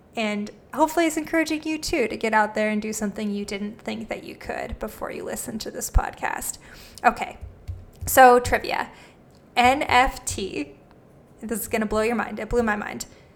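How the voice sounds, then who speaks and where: Vocal fry and big swings in loudness at a moderate pace, with ordinary pitch variation. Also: woman, fairly high pitch for a woman. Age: 30s. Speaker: podcast host. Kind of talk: interview; scripted narration.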